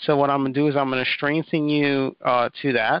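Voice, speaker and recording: This is a man speaking at a medium pitch. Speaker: energy healing practitioner. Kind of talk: live call-in healing session. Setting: phone conference call. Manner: fast.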